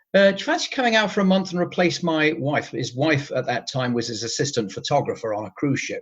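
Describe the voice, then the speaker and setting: A man with an English accent, fairly high-pitched, lively in intonation, at a moderate pace against a quiet background. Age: 60s. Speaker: retired cruise ship photographer. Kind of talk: interview.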